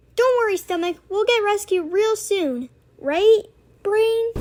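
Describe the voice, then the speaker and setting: In an extremely high pitch, a cartoonish character voice speaks at a fairly slow pace. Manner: emotional, excitable.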